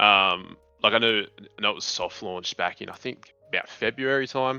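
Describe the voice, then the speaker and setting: Here a man talks with an Australian accent at a moderate pace. His pitch is medium, with ordinary variation. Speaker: online game player. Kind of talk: casual chat.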